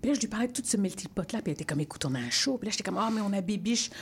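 A woman's somewhat breathy voice at a medium pitch. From Belgium, Congolese family. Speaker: theatre artist. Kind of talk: radio interview.

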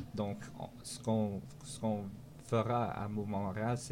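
The man's voice is fairly low, with a dark, mellow tone. His intonation stays fairly even. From Montreal. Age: 20s. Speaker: municipal candidate. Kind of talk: political interview. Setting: studio. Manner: halting.

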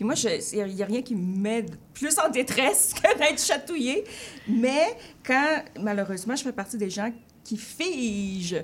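Over noticeable background noise, a woman speaks in a high pitch with lively intonation. Her pace is very slow, with long, frequent pauses. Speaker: writer. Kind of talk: interview. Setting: radio studio.

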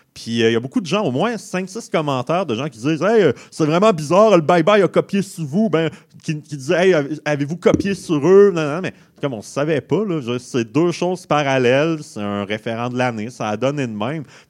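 This is a man with an unremarkable speaking voice. His pitch sits fairly high, and he moves at a moderate pace. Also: lively intonation. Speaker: guest comedian panelist. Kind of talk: comedic radio segment.

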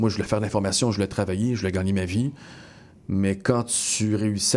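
A man's fairly low voice holds to a fairly even intonation. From Montreal, Quebec (Montréal-Nord). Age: 20s. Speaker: TV news anchor. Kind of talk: interview. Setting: studio.

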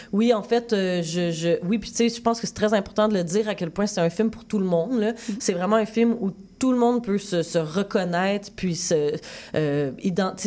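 Speaking in a Quebec accent, a woman keeps a moderate pace. Her voice sits at medium pitch, with ordinary variation. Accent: Québécois French. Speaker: film director. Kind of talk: interview.

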